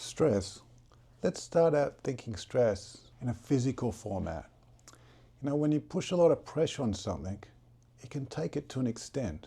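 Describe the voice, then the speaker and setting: A man speaks at a moderate pace with a medium pitch, lively intonation and vocal fry, recorded very cleanly against a silent background. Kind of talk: guided relaxation talk about stress and breathing.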